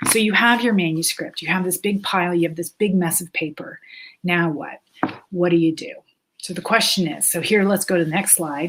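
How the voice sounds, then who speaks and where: Her pitch fairly low with ordinary variation, a woman talks at a fairly quick pace. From Canada. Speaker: author and writing teacher. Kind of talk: webinar lecture. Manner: halting, many fillers.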